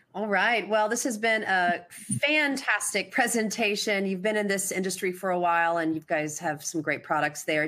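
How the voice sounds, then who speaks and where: A woman with an ordinary speaking voice and a medium pitch talks at a fairly quick pace. Her intonation is lively, with hardly any pauses. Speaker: conference host. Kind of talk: conference moderation, scripted intro and Q&A. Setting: online webcast.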